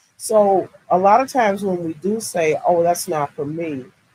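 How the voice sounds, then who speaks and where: Lively in intonation, a woman speaks at a fairly slow pace in a fairly low voice with a dark, mellow tone. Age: 60s. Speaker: podcaster and entrepreneur. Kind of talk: live stream interview.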